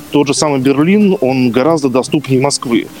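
Noticeable background noise runs under the recording. A man talks at a fairly high pitch. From Moscow, Russia. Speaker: special education teacher and researcher. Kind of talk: casual chat.

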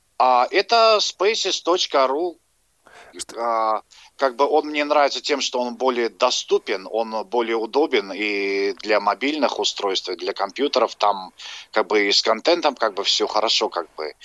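Lively intonation marks this man's medium-pitched voice. His pace is fairly slow. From Dagestan. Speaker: caller. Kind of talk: phone-in comment. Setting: phone call. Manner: halting.

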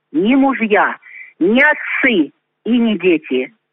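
Very slowly, a woman with a fairly high pitch talks with very wide pitch swings. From Russia, Lipetsk region. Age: 60s. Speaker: amateur poet. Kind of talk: poetry reading; personal introduction.

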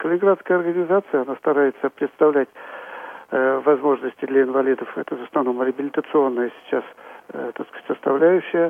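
A man speaks in an unremarkable speaking voice at a fairly high pitch and a moderate pace. His intonation is fairly even, while his loudness swings a lot. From Tula, central Russia. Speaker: chairman of regional society of the blind. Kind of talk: radio interview.

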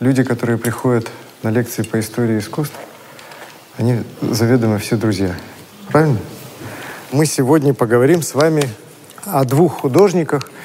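A man at a moderate pace with long, frequent pauses, audible room echo, and noticeable background noise. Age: 40s. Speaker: art historian. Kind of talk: lecture. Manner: sing-song.

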